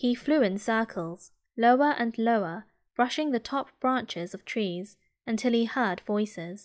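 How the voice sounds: A natural reading voice, the background quiet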